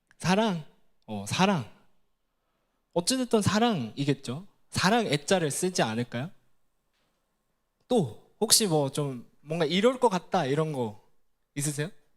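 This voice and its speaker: With a Gyeongsang accent, a man talks at a very slow pace with long, frequent pauses, a fairly high pitch, and very wide pitch swings. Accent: Gyeongsang Korean. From Gyeongsang region, South Korea. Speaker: ministry staff preacher. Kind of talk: sermon. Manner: conversational, engaging the audience with questions.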